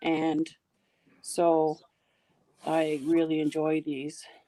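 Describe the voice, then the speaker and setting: With a Toronto accent, a woman speaks at a fairly low pitch in a dark, mellow tone, the sound dry and close with no echo. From Canada, Toronto. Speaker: live stream participant. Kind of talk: casual chat.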